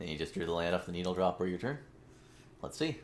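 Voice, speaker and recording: A man speaks at a very fast pace. His pitch is very deep and low, with lively intonation. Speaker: video game streamer. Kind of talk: gameplay commentary. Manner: casual, halting.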